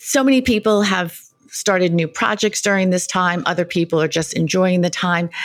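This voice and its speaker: Speaking at a fairly quick pace, a woman has a medium pitch and a plain, everyday voice. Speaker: podcast host. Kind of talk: interview podcast chat.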